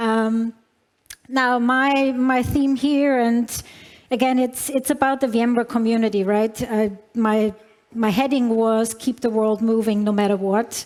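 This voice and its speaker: A woman with a non-native accent, her intonation monotone and flat, her loudness very even, her pace fairly slow. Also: fairly high pitch for a woman. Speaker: tech company executive. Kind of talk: conference keynote. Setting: stage with large audience. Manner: hesitant, many fillers.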